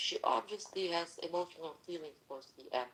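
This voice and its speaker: A woman with a non-native accent speaks at a fairly slow pace in a fairly low voice. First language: not English. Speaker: participant in a mock online court. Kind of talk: heated debate. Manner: halting, many fillers.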